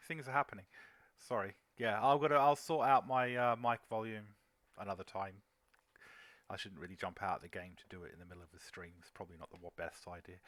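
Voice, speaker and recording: A man's fairly low voice, very fast and mumbled, with lively intonation, big swings in loudness, long frequent pauses, and a very clean recording over a silent background. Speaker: game commentator. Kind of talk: live game commentary chat. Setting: live stream. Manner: mumbling; quiet.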